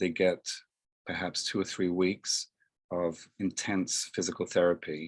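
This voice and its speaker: In a British accent, a man speaks with a very deep, low pitch. The background is quiet. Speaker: home care agency owner. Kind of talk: interview. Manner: hesitant with frequent fillers.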